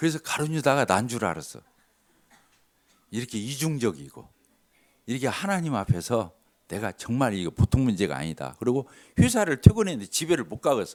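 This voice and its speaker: Talking at a fairly quick pace in an animated tone, a man with a medium-pitched voice and vocal fry makes very wide pitch swings and big swings in loudness, broken by long, frequent pauses. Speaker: lay preacher giving testimony. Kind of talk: sermon with personal testimony. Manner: animated, conversational.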